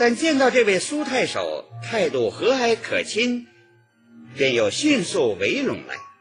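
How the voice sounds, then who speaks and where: A man speaks very slowly while clear music plays behind him. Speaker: radio broadcaster, professional announcer. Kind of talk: radio literary appreciation narration. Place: studio.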